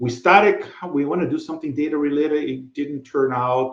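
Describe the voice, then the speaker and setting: This man has a Brazilian Portuguese accent. His voice is somewhat breathy. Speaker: podcast co-host. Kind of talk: casual chat.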